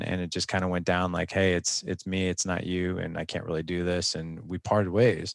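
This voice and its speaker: A man speaks at a moderate pace in a very deep, low pitch. The background is quiet. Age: 40s. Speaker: podcaster and fathers' coach. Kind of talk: interview conversation.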